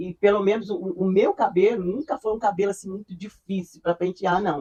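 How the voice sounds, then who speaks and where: At a moderate pace, a woman speaks in a dark, mellow tone at a medium pitch, the sound dry and close with no echo. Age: 70s. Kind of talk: interview answer.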